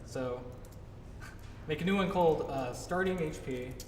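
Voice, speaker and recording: A man's fairly high voice rings with audible room echo over noticeable background noise. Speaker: game developer giving a talk. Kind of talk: tutorial talk at a meetup. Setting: live presentation to a meetup audience. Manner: fast; casual, many fillers.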